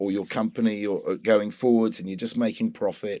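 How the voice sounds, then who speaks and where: A man with a British accent and ordinary pitch variation, on a very clean recording with a silent background. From UK. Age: 60s. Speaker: environmental activist. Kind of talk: interview conversation.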